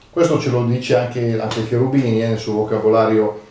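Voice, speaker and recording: Medium-pitched man at a moderate pace, with audible room echo and noticeable background noise. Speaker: dialect and proverbs commentator. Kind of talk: casual educational talk. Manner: hesitant, many fillers.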